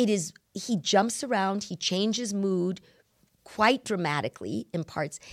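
This woman has a plain, everyday voice, medium in pitch with lively intonation. She speaks at a fairly slow pace. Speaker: scripture study podcast host. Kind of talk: casual religious discussion.

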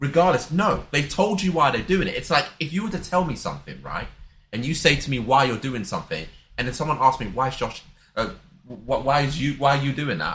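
This man has a normal speaking voice, fairly high in pitch for a man. He talks at a fairly quick pace with lively intonation. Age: 20s. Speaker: podcast co-host. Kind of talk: casual chat.

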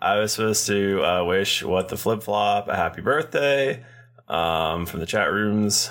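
This is a man with an unremarkable speaking voice, pitched fairly low. He talks at a fairly slow pace with ordinary pitch variation. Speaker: dungeon master and podcast host. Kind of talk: casual chat, tabletop roleplaying game.

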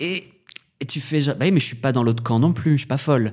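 A man's fairly high, somewhat breathy voice, dark and mellow in tone, with ordinary pitch variation. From northern France. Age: 30s. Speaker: drag performer and DJ. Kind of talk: casual chat.

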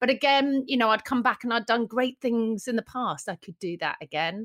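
The sound is dry and close with no echo, on a very clean recording with a silent background. A woman with a British accent speaks at a fairly high pitch. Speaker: magazine editor. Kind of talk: casual interview chat.

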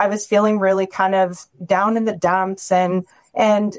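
In a dry, close sound with no echo, a woman with a Canadian accent and a normal speaking voice talks at a fairly slow pace, with medium pitch and fairly even intonation. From Ontario, near Windsor/Leamington. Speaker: weight-loss program member. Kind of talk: casual chat.

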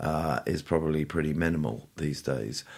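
Very deep, low pitch from a man, captured in a very clean recording against a silent background. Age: 60s. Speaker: podcast host, investment manager. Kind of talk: casual interview. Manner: hesitant, many fillers.

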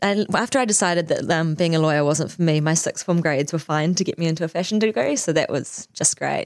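A woman with a New Zealand accent, fairly low in pitch and fairly quick, with ordinary pitch variation and very even loudness, on a very clean recording with a silent background. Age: 40s. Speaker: fashion designer and business owner. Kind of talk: interview.

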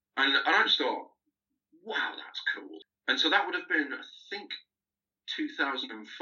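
A man with a Lancashire accent talks at a moderate pace. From northern England, Lancaster. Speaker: archaeology PhD student. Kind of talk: casual interview.

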